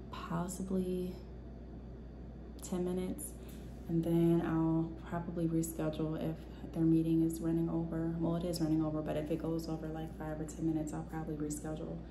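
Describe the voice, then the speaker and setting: Fairly quick speech with audible room echo and noticeable background noise. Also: woman. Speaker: vlogger and entrepreneur. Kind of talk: casual vlog talk to camera. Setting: at home. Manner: soft-spoken, talking low.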